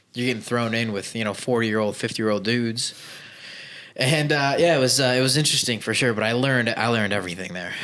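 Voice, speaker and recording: A man with an American accent talks at a very fast pace. Noticeable background noise and audible room echo surround his voice. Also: medium pitch for a man, ordinary pitch variation. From Chicago, US Midwest. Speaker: business owner, former plumber. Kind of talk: podcast interview. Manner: casual, uses fillers.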